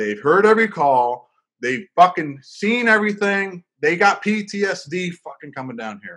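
With an American accent, a man speaks at a moderate pace in an animated, bright, sharp tone at a high pitch. His pitch swings very widely and his loudness swings a lot, against a quiet background. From Florida. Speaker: podcast host. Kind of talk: casual chat.

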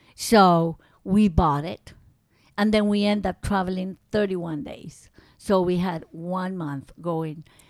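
This woman's speech moves very slowly. Her voice sits at a medium pitch and varies in an ordinary way. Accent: Spanish. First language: Spanish. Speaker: grandmother telling life story. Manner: halting, searching for words, amused, with grammatical slips and restarts.

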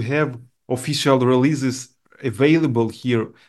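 A man with a Ukrainian accent, medium-pitched and fairly slow, with fairly even intonation against a quiet background. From Ukraine. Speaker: sound designer and composer. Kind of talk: casual interview chat. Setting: video call. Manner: halting, searching for words.

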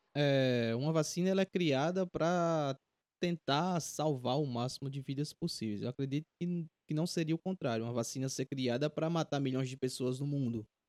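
A man at a moderate pace with ordinary pitch variation, in a very clean recording with a silent background and a dry, close sound with no echo. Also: fairly high pitch for a man. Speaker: podcast host. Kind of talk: casual chat. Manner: halting.

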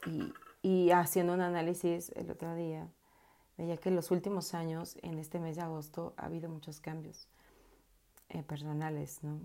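A woman's dark, mellow voice, fairly low in pitch and flat and monotone in intonation. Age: 30s. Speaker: podcaster and life coach. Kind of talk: casual personal monologue. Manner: halting with frequent repetitions.

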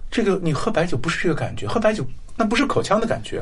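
Very wide pitch swings and a very fast pace come through with audible room echo. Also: man. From Shanxi, China. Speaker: historian. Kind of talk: interview conversation.

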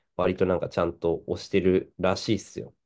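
The man talks at a moderate pace. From northern Japan (Tohoku), Hachinohe, Aomori. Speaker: podcast co-host. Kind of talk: casual chat. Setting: video call.

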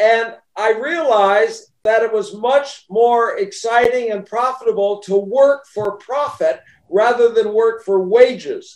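A man speaks at a fairly slow pace with an extremely high pitch. His pitch varies in an ordinary way. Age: 70s. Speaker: author and network marketing businessman. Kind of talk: interview. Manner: conversational, humorous.

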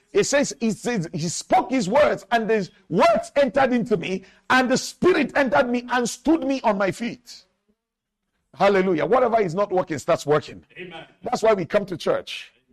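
Animated and lively in intonation, a man speaks at a moderate pace with a high pitch. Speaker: pastor. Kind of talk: sermon. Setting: church. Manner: call-and-response.

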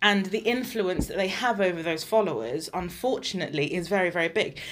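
A woman with an English accent talks at a fairly quick pace in a medium-pitched voice with ordinary pitch variation. The recording is very clean, with a silent background. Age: 20s. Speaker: podcast co-host. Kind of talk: casual chat.

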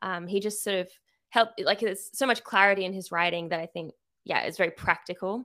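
Speaking fairly quickly with an Australian accent, a woman has a bright, sharp tone at medium pitch. Her pitch varies in an ordinary way on a very clean recording with a silent background. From Sydney, Australia. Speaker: artist and writer, small business owner. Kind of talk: casual chat.

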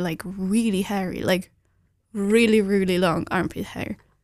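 In a very clean recording with a silent background, a woman speaks at a fairly slow pace with a medium pitch and monotone, flat intonation. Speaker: podcast co-host. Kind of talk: casual chat.

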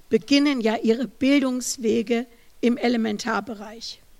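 A woman's voice with ordinary pitch variation. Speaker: professor. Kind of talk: lecture.

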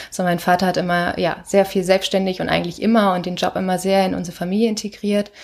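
Very fast and in a monotone, flat intonation, a woman speaks at a medium pitch. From northern Germany, Lüneburger Heide. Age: 20s. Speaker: company founder. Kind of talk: interview.

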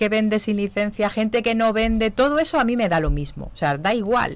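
A woman speaks at a moderate pace in a normal speaking voice with ordinary pitch variation. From Zamora, Spain. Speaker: knitting charity group organiser and entrepreneur. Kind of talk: radio interview. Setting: radio studio.

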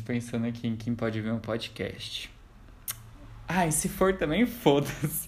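This voice belongs to a man. It sounds somewhat breathy. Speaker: podcast host. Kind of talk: casual chat.

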